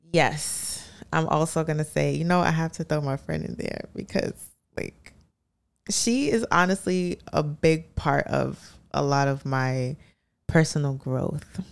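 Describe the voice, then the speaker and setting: A woman with a New York accent speaks at a fairly slow pace. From Brooklyn, New York (Canarsie). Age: young. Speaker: musician. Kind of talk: casual chat.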